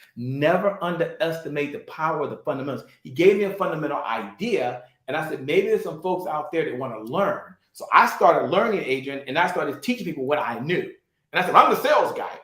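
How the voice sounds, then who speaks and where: Talking at a very fast pace, a man with a high pitch uses lively intonation and big swings in loudness, and there is audible room echo. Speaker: sales trainer and entrepreneur. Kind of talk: interview, motivational talk. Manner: animated.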